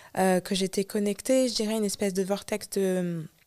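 A woman at a medium pitch and moderate pace, recorded very cleanly with a silent background and a dry, close sound with no echo. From France. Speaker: singer and spiritual healer. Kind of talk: interview. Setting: studio.

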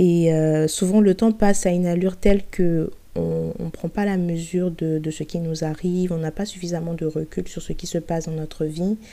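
Low for a woman, her voice has a dark, mellow tone and a monotone, flat intonation. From Côte d'Ivoire, Abidjan. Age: 20s. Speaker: podcast host. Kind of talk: personal testimony. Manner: hesitant.

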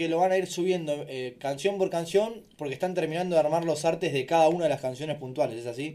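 Speaking very fast in a Rioplatense accent, a man with a high voice shows ordinary pitch variation. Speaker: radio host. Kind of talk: casual chat.

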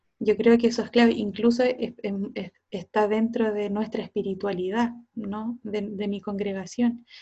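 A woman with a Chilean accent, fairly high-pitched and somewhat breathy, fairly slow with hardly any pauses, her intonation monotone and flat. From south-central rural Chile, Cauquenes. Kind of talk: casual interview.

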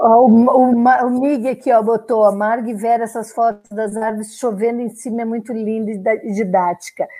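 Speaking at a fairly slow pace, a woman with a southern Brazilian accent keeps a fairly high pitch and fairly even intonation. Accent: gaúcho. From southern Brazil (Rio Grande do Sul). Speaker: podcast host and sailor. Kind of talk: casual interview. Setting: video call livestream.

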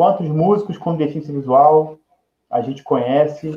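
With an unremarkable speaking voice, a man talks at a moderate pace and keeps his intonation fairly even. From Nova Friburgo, Rio de Janeiro state, Brazil. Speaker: music educator specializing in inclusion. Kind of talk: interview on live podcast.

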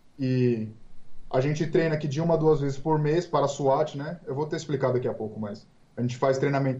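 With audible room echo, a man talks at a fairly quick pace in a dark, mellow tone, fairly high in pitch, somewhat breathy, with ordinary pitch variation. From Brazil, Santos (São Paulo coast). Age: 20s. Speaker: police officer. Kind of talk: interview.

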